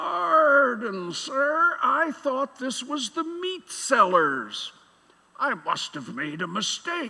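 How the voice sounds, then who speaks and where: A man puts on a character voice pitched extremely high. He speaks at a very slow pace. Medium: stage play. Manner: awkward, apologetic.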